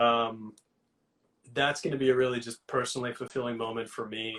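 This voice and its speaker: A man with a New York accent speaks at a medium pitch. His pace is fairly quick and his intonation monotone and flat. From New York City (Queens). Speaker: hot sauce entrepreneur. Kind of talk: interview. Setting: live Instagram video call.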